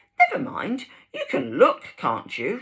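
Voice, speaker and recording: A woman uses a put-on character voice, extremely high in pitch, at a fairly slow pace. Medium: read story.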